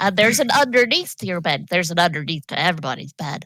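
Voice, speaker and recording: A female-sounding put-on character voice, pitched fairly low for a woman. She talks at a very fast pace. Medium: actual play. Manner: cheerful, earnest.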